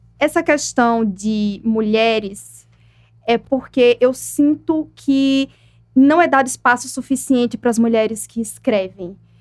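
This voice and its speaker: A woman with a fairly high voice speaks very slowly, with ordinary pitch variation, over noticeable background noise. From Brazil, Aracaju (Sergipe, Northeast). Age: 20s. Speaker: poet and writer. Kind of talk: interview.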